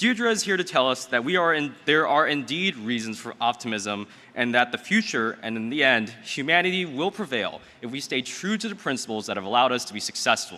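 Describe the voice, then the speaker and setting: A man at a medium pitch with very wide pitch swings and a fairly quick pace. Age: 20s. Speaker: event emcee, law student. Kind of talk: speaker introduction. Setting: stage with audience.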